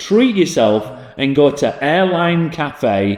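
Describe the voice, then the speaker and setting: Speaking very slowly in a Yorkshire accent, a man uses lively intonation. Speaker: podcast host, leisure venue business. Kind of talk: casual chat. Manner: hesitant, many fillers.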